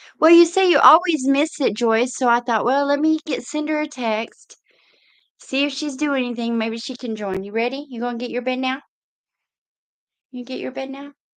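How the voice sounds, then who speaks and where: A woman with a Texan accent speaks in a high pitch, her loudness swinging widely. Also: ordinary pitch variation, moderate pace. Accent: Texas Southern. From East Texas. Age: 50s. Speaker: livestream host, truck driver. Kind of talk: casual livestream chat. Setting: live video stream.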